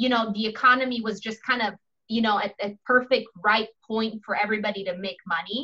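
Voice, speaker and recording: A woman with a bright, sharp tone, fairly quick pace and fairly even intonation. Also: fairly high pitch for a woman. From Italy. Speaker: podcast host. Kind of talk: casual interview chat.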